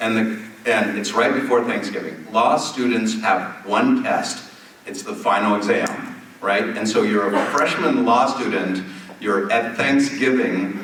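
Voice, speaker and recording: At a fairly slow pace, a man speaks in a space with audible room echo and noticeable background noise. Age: 60s. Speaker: telemedicine company founder. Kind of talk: keynote conversation on stage. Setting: stage with audience. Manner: animated storytelling.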